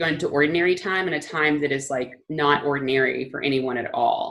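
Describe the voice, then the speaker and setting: With ordinary pitch variation, a woman speaks in a very deep, low pitch. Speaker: church teacher. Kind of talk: teaching talk. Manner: fast; halting.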